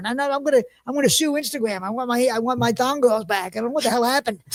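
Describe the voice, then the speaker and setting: This man talks very fast with a Philadelphia accent. His pitch is extremely high for a man, with ordinary variation. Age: 50s. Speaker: podcast host. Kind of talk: casual chat. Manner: halting.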